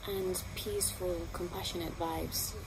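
At a fairly slow pace, a woman speaks over noticeable background noise. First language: not English. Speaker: spiritual healer and channeler. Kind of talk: promotional monologue to camera. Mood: warm, earnest, encouraging. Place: garden.

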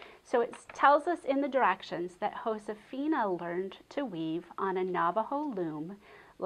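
Here an unforced reading voice rises and falls with lively intonation.

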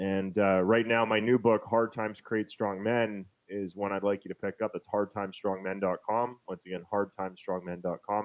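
The speaker talks with a Canadian Prairies accent at a moderate pace, with monotone, flat intonation and hardly any pauses. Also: man, fairly low pitch for a man. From Winnipeg, Manitoba, Canada. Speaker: real estate investor and author; interview guest. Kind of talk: interview over video call. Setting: online call. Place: home room.

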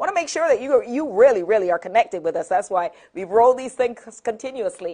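The woman talks very fast. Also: quiet background. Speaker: TV talk show host. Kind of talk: talk show hosting. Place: studio.

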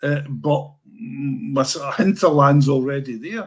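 A man talks with lively intonation at a fairly high pitch. His voice is somewhat breathy, and the background is quiet. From Scotland. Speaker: sports writer; guest. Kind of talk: casual chat. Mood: warm, reminiscing. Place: home room.

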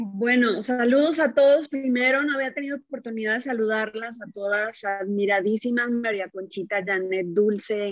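The speech runs at a moderate pace with ordinary pitch variation and hardly any pauses. The background is quiet and the sound is dry with no echo. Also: woman, fairly high pitch for a woman. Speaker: ballad singer. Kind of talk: press conference. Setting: video call. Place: home room. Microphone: video call.

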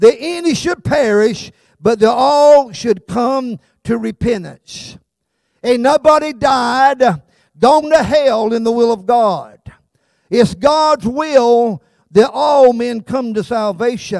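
A man talks at a very slow pace with an extremely high pitch and ordinary pitch variation, in a Southern US accent. The sound is dry with no echo, and the background is quiet. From South Carolina. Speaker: pastor. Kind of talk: sermon. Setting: church. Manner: animated. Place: church. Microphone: handheld.

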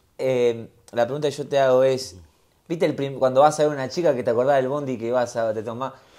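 Against a quiet background, a man with an Argentine accent speaks very fast in a medium pitch, his tone dark and mellow and his intonation fairly even. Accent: Rioplatense Argentine Spanish. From Argentina. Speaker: podcast host. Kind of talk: casual interview chat.

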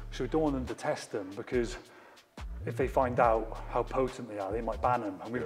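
A man at a very fast pace, faint music in the background. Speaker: coach. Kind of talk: casual anecdote and advice. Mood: amused storytelling. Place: gym.

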